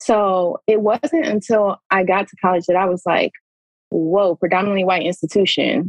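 Speaking at a moderate pace with a Detroit accent, a woman at medium pitch shows ordinary pitch variation and big swings in loudness. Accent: Detroit-area American English. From US Midwest, Pontiac, Michigan (Metro Detroit). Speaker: former pro basketball player, social work PhD student. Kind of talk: casual chat. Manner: animated.

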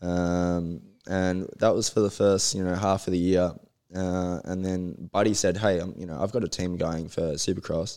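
Here a man talks at a moderate pace. He speaks with an Australian accent. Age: 20s. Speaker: motocross racer. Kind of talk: casual interview chat.

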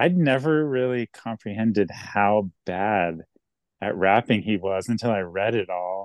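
Using an ordinary speaking voice, a man talks at a fairly slow pace and a fairly low pitch, his intonation lively. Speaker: hip-hop artist. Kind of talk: casual chat.

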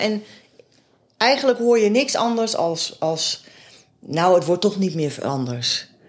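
A woman's medium-pitched voice rises and falls with lively intonation. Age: 50s. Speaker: local politician and foster parent. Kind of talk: interview. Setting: at home. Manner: halting.

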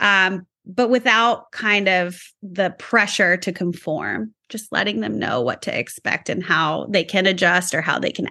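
With an American accent, a woman speaks at medium pitch with lively intonation and vocal fry. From California. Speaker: school psychologist. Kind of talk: casual chat.

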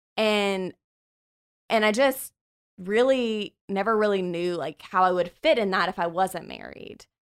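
An unremarkable speaking voice talks at a fairly slow pace in an American accent, with ordinary pitch variation. The recording is very clean, with a silent background. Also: woman, medium pitch for a woman. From US military bases, various. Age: 30s. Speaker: church group leader. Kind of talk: casual chat.

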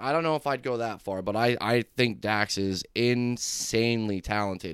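Moderate in pace, a man talks in a plain, everyday voice. The recording is very clean, its background silent. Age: 30s. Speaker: rapper. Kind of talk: casual chat.

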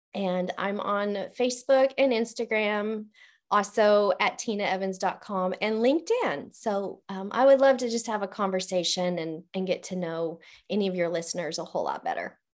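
A woman speaks at a moderate pace with a plain, everyday voice. Her pitch is medium and its variation ordinary. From Colorado, US. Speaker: leadership coach. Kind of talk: casual interview.

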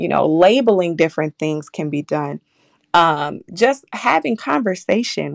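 A woman with an American accent speaks at a moderate pace in an unremarkable speaking voice, her intonation lively. The recording is very clean with a silent background and a dry, close sound with no echo. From Minneapolis north side, Minnesota. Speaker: early childhood program worker. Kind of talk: radio interview.

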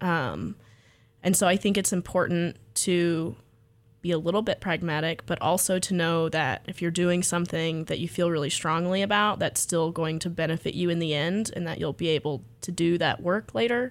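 A woman with a normal speaking voice, fairly low in pitch, at a moderate pace, with an American accent. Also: ordinary pitch variation. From US South, coastal Texas (Freeport). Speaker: graduate student and artist. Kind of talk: radio interview.

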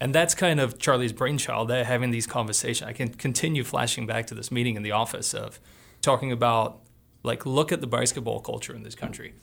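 Over a very clean recording with a silent background, a man with vocal fry speaks at a fairly quick pace and medium pitch, with big swings in loudness. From Australia. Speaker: college soccer coach. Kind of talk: casual chat. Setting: studio. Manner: animated.

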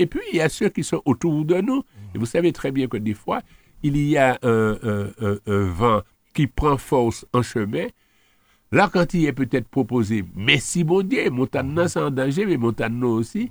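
A man at a medium pitch with very wide pitch swings, a fairly slow pace, and a dry, close sound with no echo. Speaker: local politician. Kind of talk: radio interview.

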